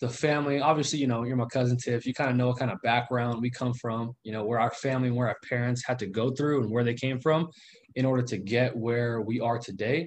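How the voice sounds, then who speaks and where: A man with a normal speaking voice and medium pitch at a fairly quick pace. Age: 20s. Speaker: real estate investor. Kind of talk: interview on livestream.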